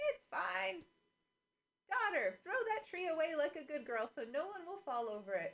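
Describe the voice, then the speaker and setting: Putting on a squeaky character voice, a woman talks at a moderate pace in a high pitch with very wide pitch swings. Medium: read story.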